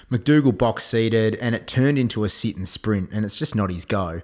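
A man with an Australian accent speaks at a moderate pace and a fairly low pitch. The recording is very clean and the background silent. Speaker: horse racing tipster podcast host. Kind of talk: casual chat.

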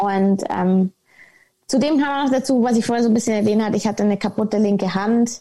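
A woman speaks at a moderate pace with a medium pitch and a dark, mellow, somewhat breathy tone, on a very clean recording with a silent background. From Munich, Bavaria. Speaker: former professional golfer. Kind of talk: podcast interview.

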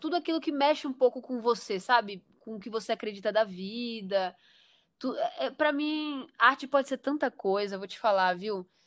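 A woman's normal speaking voice at a fairly high pitch, with lively intonation, big swings in loudness and a moderate pace, on a very clean recording with a silent background. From Porto Velho, Rondônia, northern Brazil. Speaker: director of photography. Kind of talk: casual interview.

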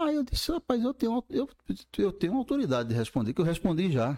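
Very wide pitch swings mark a man's high-pitched voice at a fairly quick pace, heard dry and close with no echo. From Brazil, Campina Grande, Paraíba. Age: 50s. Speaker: urologist and medical professor. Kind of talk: casual interview.

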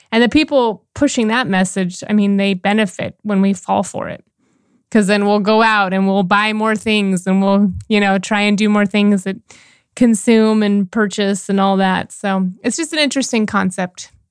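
A woman with a plain, everyday voice, medium pitch, fairly even intonation and moderate pace, on a very clean recording with a silent background. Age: 40s. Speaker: life and relationship coach, podcast co-host. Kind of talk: casual chat.

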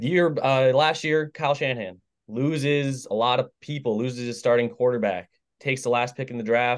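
Over a quiet background, a man with an unremarkable speaking voice speaks at a medium pitch and moderate pace with fairly even intonation. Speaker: sports podcast co-host. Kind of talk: casual sports chat. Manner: blunt, opinionated.

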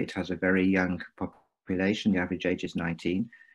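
A man speaks with an English accent at a moderate pace. His pitch is very deep and low. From England. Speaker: venture capital investor. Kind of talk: interview.

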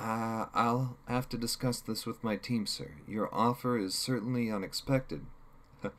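Natural voice, reading.

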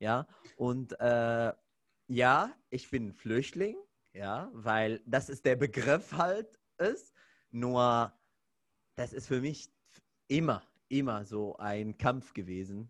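The voice moves at a very slow pace in an Arabic accent, with long, frequent pauses and ordinary pitch variation. The recording is very clean, with a silent background. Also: man, medium pitch for a man. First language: Arabic (speaking German). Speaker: podcast host, fitness trainer. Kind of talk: casual chat.

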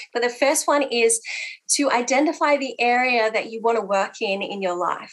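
Her pitch high and its variation ordinary, a woman talks at a moderate pace. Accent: Australian. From Australia (Italian heritage). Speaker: pastor and counsellor. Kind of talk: church women's gathering talk.

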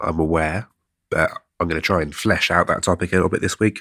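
Talking at a very fast pace, a man with an English accent has a very deep, low pitch, a bright, sharp tone and fairly even intonation. The sound is dry and close, with no echo. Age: 20s. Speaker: podcast host. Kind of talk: solo monologue podcast. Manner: halting; casual.

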